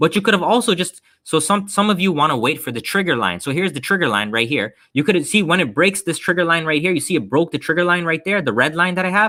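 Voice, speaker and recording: The tone is animated, bright and sharp, with vocal fry and lively intonation at a very fast pace. The recording is very clean, with a silent background. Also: man. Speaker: stock trading educator. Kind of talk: live stream trading seminar. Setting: live stream.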